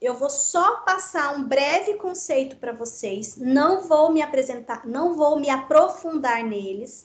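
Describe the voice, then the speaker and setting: Against audible room echo, a woman talks at a very slow pace, her high voice carrying lively intonation. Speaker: teacher. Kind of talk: online lecture.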